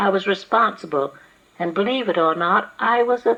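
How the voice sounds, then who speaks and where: Amid noticeable background noise, a woman of medium pitch speaks at a moderate pace with lively intonation. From Los Angeles. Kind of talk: oral history interview.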